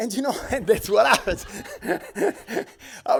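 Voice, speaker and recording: Speaking at a moderate pace with an Italian accent, a man sounds animated while noticeable background noise runs behind him. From Italy. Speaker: designer. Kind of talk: panel talk.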